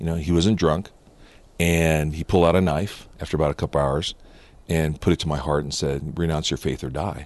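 In a General American accent, a man speaks at a fairly quick pace with a very deep, low pitch, vocal fry, and fairly even intonation. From US West (Southern California). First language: Japanese. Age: 50s. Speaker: founder of a faith-based cigar fellowship club. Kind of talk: interview storytelling.

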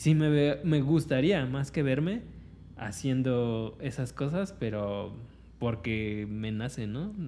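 Here is a man with a Mexican accent and a dark, mellow tone. He talks at a very slow pace with lively intonation. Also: medium pitch for a man. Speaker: podcast co-host. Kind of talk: casual chat.

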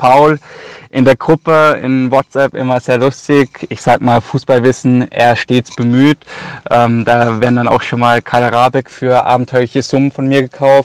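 The speech moves at a fairly slow pace in a monotone, flat intonation, with a dry, close sound and no echo. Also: man, medium pitch for a man. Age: 20s. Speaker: listener and fantasy football player. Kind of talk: recorded voice message.

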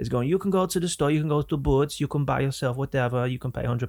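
In a very clean recording with a silent background, a man with an English accent talks very fast with ordinary pitch variation. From England. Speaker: podcast host. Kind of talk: casual chat. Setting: studio.

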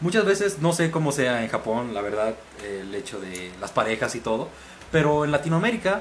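Noticeable background noise sits under a man speaking at a moderate pace. His fairly high pitch swings very widely. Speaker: podcast guest. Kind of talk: casual chat.

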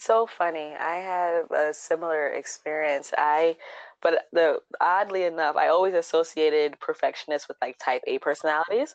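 A woman with an ordinary speaking voice talks at a moderate pace at a fairly low pitch, with fairly even intonation, in a dry, close sound with no echo against a quiet background. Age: 30s. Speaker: DIY blogger. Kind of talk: casual chat.

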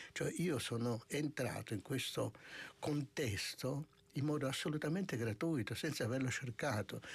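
At a moderate pace, a man speaks at a medium pitch with vocal fry. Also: ordinary pitch variation, very even loudness. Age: 60s. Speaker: monk and author. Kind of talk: radio interview. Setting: studio.

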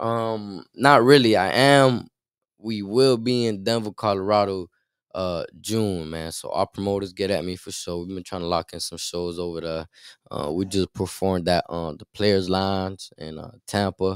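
A man with an American accent talks at a moderate pace in a very deep, low pitch, with ordinary pitch variation and big swings in loudness. The recording is very clean with a silent background, and the sound is dry and close with no echo. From Miami, Florida. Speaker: rapper. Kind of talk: interview.

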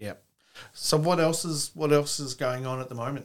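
This is a man with an Australian accent. His pitch varies in an ordinary way. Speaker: podcast host. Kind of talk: casual interview chat.

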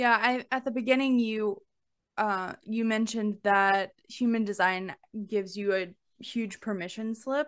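In a plain, everyday voice, a woman with an American accent talks at a fairly slow pace with a fairly high pitch. Her intonation is fairly even, and the background is quiet. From Alabama, US South. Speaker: podcast host, money coach. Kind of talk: casual interview chat.

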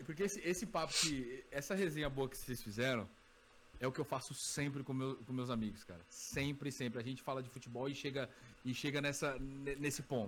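Speaking at a fairly quick pace, a man with an unremarkable speaking voice has a fairly high pitch and ordinary pitch variation. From Brazil, São Paulo. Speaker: hookah content creator. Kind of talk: casual chat.

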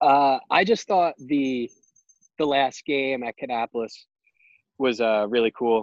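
In a dry, close recording with no echo, a man speaks fairly slowly at medium pitch, with ordinary pitch variation and long, frequent pauses. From Long Island, New York. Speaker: minor league baseball player. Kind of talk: casual interview.

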